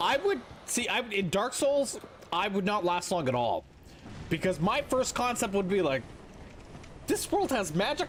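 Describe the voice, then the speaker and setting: An animated man with a high pitch, very wide pitch swings and very even loudness, at a moderate pace with long, frequent pauses, over noticeable background noise. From Canada. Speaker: video game streamer. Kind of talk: casual live-stream chat. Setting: live stream.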